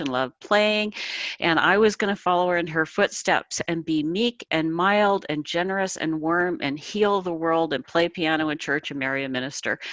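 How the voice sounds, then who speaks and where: A woman speaks with an Upper Midwest accent and ordinary pitch variation. The recording is very clean, with a silent background. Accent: Upper Midwest American. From US Midwest, South Dakota. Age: 60s. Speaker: author. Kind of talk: interview. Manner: high energy.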